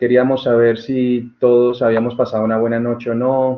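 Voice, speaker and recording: A man talks at a medium pitch. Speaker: tutor. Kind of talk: online tutorial Q&A session. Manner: fast.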